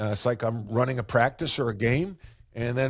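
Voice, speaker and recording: In a very clean recording with a silent background, a man with an American accent speaks at a medium pitch and fairly quick pace. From US Northeast, Long Island, New York. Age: 60s. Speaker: business coach, former basketball player and coach. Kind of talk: podcast interview.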